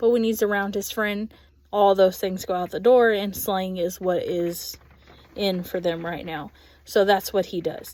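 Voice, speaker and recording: In a Texas accent, the voice has a dark, mellow tone and fairly even intonation in a very clean recording with a silent background. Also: woman. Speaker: ESL classroom aide. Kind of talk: recorded class assignment reflection. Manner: casual, with frequent filler ums.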